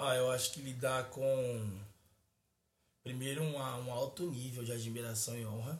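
A man's somewhat breathy voice, fairly slow and fairly even in intonation, with long, frequent pauses and audible room echo. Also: medium pitch for a man. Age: 20s. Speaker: pastor. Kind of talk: casual chat.

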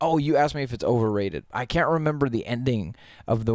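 The recording is very clean, with a silent background. A man with an unremarkable speaking voice talks at a fairly quick pace with ordinary pitch variation. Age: 20s. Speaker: podcast host. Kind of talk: casual chat. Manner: laughs often. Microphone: quieter than co-host on recording.

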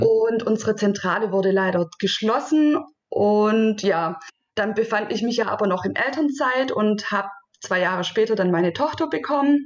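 Music plays behind a woman with a fairly high pitch. She talks at a moderate pace with lively intonation. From southwestern Germany, Stuttgart area. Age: 30s. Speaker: virtual assistant, freelancer. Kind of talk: podcast interview.

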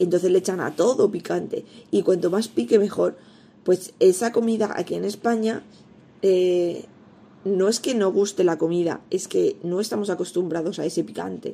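A woman speaks with vocal fry and ordinary pitch variation. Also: medium pitch for a woman, moderate pace. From Spain, Elda (Alicante). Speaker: pastry chef and baking teacher, podcast host. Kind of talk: solo podcast tutorial.

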